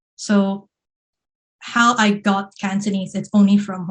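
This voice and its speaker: A woman talks at a fairly slow pace with a slight Singaporean accent and a medium pitch. Her voice is somewhat breathy and her intonation monotone and flat. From Hong Kong, Happy Valley. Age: 20s. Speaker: multimedia producer, former journalist. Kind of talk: podcast interview.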